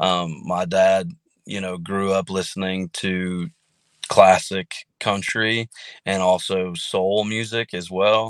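Very slow and very deep, a man with an American accent speaks with fairly even intonation, recorded dry and close with no echo against a very clean, silent background. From Kansas and Maryland. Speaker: country singer. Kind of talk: casual interview.

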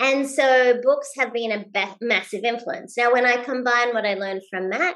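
In an Australian accent, a woman speaks at a fairly quick pace. Her pitch sits fairly high, with ordinary variation. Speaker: leadership expert and keynote speaker. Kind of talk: interview. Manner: high energy; fast-paced.

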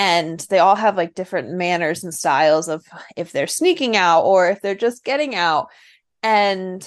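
A woman speaks at medium pitch with ordinary pitch variation. She has a plain, everyday voice. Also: quiet background. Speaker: podcast co-host, dairy goat breeder. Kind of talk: casual chat.

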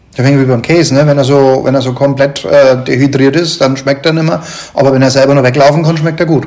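Very fast speech with fairly even intonation and very even loudness, amid audible room echo and noticeable background noise. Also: man, fairly high pitch for a man. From northern Germany. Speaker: podcast host. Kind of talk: interview. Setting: on location at the brewery. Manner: halting.

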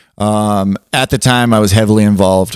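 The recording is very clean, with a silent background and a dry, close sound with no echo. A man speaks with fairly even intonation. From Southern California (Palmdale). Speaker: podcast host. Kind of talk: casual chat.

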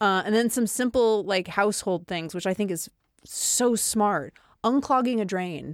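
A woman with a normal speaking voice and medium pitch speaks at a fairly slow pace with ordinary pitch variation. The recording is very clean, with a silent background. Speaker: podcast host. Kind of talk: casual chat. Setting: home podcast studio.

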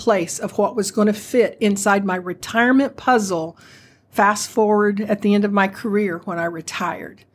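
Heard in a very clean recording with a silent background, a woman has an unremarkable speaking voice, fairly high pitch, ordinary pitch variation and a moderate pace. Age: 60s. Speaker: retirement benefits advisor, retired postal manager. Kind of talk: podcast interview.

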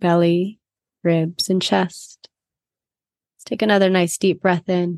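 Using a calm, soothing tone, a woman speaks at a very slow pace in a fairly low pitch with monotone, flat intonation, big swings in loudness, and long, frequent pauses. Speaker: podcast co-host. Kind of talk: guided meditation. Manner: slow, calm, soothing, unhurried pacing with long pauses.

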